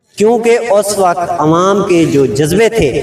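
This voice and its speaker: Through noticeable background noise comes a man's high-pitched voice with ordinary pitch variation. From Pakistan, southern Punjab (Rajanpur). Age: 60s. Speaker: elderly eyewitness interviewee. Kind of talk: street interview. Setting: outdoors, street interview.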